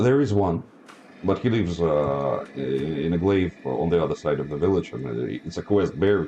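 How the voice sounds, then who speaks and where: A man with a Russian accent at a moderate pace, amid noticeable background noise. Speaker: game master. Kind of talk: tabletop roleplay narration.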